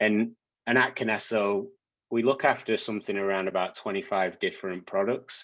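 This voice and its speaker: This man speaks with a British accent and fairly even intonation. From UK. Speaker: technology executive. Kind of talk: guest lecture. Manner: hesitant, many fillers and repeats.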